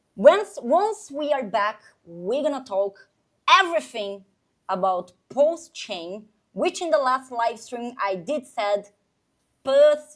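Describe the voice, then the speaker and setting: Speaking at a fairly slow pace, a woman has a high pitch with very wide pitch swings and big swings in loudness. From Brazil. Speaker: crypto live streamer. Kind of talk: casual live stream chat. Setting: live stream. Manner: animated.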